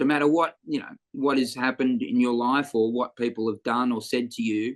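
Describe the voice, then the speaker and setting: Speaking with an Australian accent, a man comes through in a dry, close sound that has no echo. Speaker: comedian. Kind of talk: interview answer.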